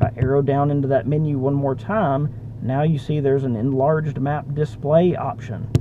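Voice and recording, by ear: The man talks at medium pitch, keeping a moderate pace and fairly even intonation.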